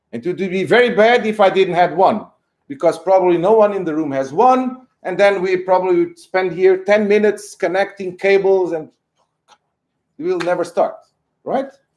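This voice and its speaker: Loud speech in a Portuguese accent moves at a moderate pace with ordinary pitch variation. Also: man, high pitch for a man. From Portugal. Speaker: professor. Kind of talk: lecture.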